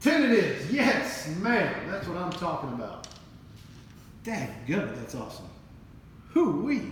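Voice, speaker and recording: A man shouts with very wide pitch swings and big swings in loudness, leaving long, frequent pauses, amid noticeable background noise and audible room echo. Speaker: craps channel host playing dealer. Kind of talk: casual game commentary. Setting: at home. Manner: loud, half-yelling; animated.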